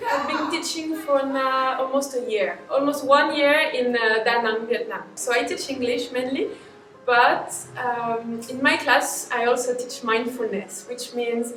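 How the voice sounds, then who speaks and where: Over music in the background and audible room echo, a woman speaks with a high pitch and ordinary pitch variation. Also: fairly slow pace. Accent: French. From France. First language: French. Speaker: English and mindfulness teacher. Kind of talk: interview.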